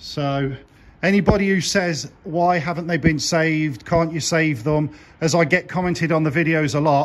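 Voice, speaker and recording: There is light background noise. Over it, a man speaks at a high pitch. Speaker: car channel vlogger. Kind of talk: casual vlog commentary. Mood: regretful, subdued. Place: garage. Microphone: phone near.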